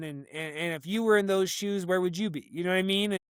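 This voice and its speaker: Very fast, high-pitched speech from a man with an American accent and ordinary pitch variation. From Colorado, US. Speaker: psychic and athlete. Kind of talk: casual chat. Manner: animated; halting.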